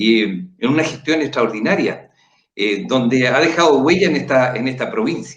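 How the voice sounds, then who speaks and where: Using a normal speaking voice, the man keeps a moderate pace and lively intonation. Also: medium pitch for a man. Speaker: political candidate and show host. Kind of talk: panel discussion. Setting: livestream.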